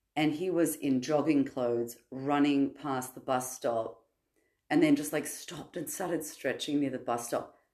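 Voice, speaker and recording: In an Australian accent, a woman speaks at a moderate pace with fairly even intonation. Her voice is very deep and low, with a dark, mellow tone. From Sydney, Australia. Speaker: podcast guest sharing personal story. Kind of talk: personal testimony in casual chat.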